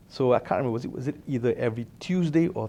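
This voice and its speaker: The speaker has a Malaysian accent and a dark, mellow tone. Delivery comes at a fairly quick pace with ordinary pitch variation. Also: man. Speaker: alumnus, company director. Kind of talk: interview storytelling. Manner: casual, with many fillers.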